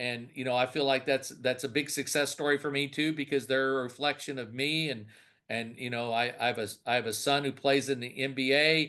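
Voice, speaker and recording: Against a quiet background, a man talks at a fairly quick pace with a medium pitch and a bright, sharp tone. His intonation is monotone and flat. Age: 60s. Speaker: senior care business owner. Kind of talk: interview. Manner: halting, many repetitions.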